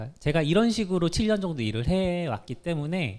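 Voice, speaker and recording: A man speaks at a fairly quick pace with lively intonation on a very clean recording with a silent background. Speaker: software engineer giving a talk. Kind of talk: conference talk. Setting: stage with audience. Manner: fast when nervous.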